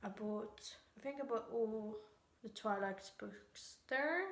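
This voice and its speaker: A woman with a Swedish accent, fairly high in pitch, very slow in pace, and fairly even in intonation. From Sweden. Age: young. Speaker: book vlogger. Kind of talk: casual talk to camera.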